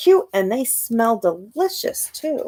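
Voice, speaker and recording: A woman speaks in a put-on character voice, pitched high. She takes a fairly slow pace. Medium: read story. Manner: earnest, eager.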